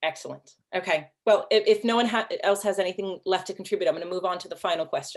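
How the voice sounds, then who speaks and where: Speaking very fast with hardly any pauses, a woman keeps a medium pitch and fairly even intonation while her loudness swings widely. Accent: American. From US Pacific Northwest (Seattle). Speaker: panel moderator. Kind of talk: panel moderation.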